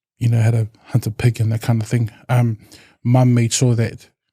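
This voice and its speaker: A man speaks at medium pitch with a dark, mellow tone and a somewhat breathy quality. His intonation is monotone and flat, recorded dry and close with no echo. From New Zealand, Samoan family. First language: Samoan. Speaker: community support worker. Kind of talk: interview conversation. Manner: halting, with repetitions.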